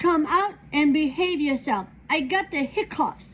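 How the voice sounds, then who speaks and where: High-pitched put-on character voice from a woman at a fairly slow pace. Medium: read story.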